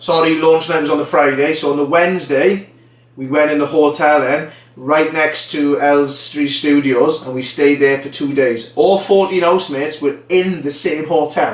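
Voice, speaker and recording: With a South Wales Valleys accent, a man speaks at a moderate pace in a fairly high pitch with fairly even intonation, amid audible room echo and noticeable background noise. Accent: Welsh (South Wales Valleys), recognisable. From Wales, the Valleys. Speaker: former reality TV contestant, training consultant. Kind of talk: casual vlog storytelling. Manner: conversational, filler-heavy.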